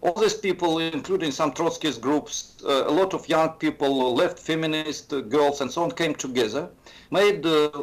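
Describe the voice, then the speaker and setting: A man speaks with a Russian accent at a fairly high pitch. His pace is moderate, and his pitch varies an ordinary amount. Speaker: professor of political economics. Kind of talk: interview. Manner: hesitant, many fillers.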